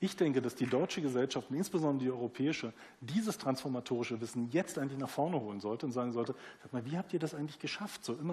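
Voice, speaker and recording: A man speaks at a fairly high pitch. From East Germany. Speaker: newspaper publisher. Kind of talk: panel discussion. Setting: theatre stage with audience.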